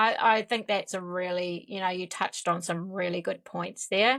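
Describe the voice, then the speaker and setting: A woman's medium-pitched voice with a New Zealand accent, fairly even intonation, a moderate pace and big swings in loudness on a very clean recording with a silent background. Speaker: podcast host. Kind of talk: interview conversation.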